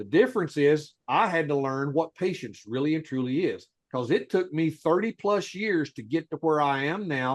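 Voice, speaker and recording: In an ordinary speaking voice, a man with a fairly high pitch talks at a moderate pace with lively intonation. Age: 60s. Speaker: legal rights educator. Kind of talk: heated debate. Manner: forceful.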